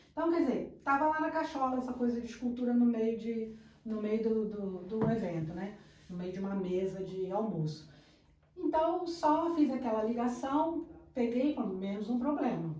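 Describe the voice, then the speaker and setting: A woman's fairly high voice with very wide pitch swings, moderate pace, noticeable background noise and audible room echo. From Rio de Janeiro, Brazil. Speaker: architect and designer. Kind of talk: casual podcast interview.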